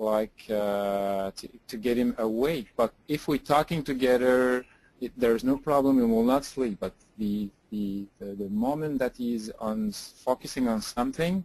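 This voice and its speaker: With a French accent, a man talks at a fairly slow pace and medium pitch, with ordinary pitch variation. The sound is dry and close with no echo. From France or French-speaking region. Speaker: rehab hospital clinician. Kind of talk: clinical case consultation. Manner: halting, many hesitations.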